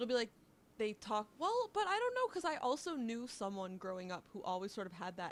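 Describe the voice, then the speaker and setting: Lively intonation marks this speech. It's a plain, everyday voice at a fairly quick pace. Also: woman. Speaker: podcast co-host. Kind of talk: casual chat.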